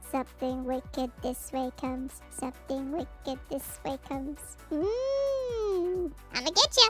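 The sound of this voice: A put-on character voice, high in pitch, moves at a fairly slow pace over clear background music.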